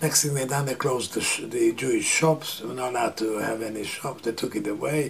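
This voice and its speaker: Amid noticeable background noise, a man talks at a very fast pace with hardly any pauses. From Transylvania, Romania/Hungary (Satmar). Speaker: Holocaust survivor. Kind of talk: interview testimony. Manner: halting, with many fillers.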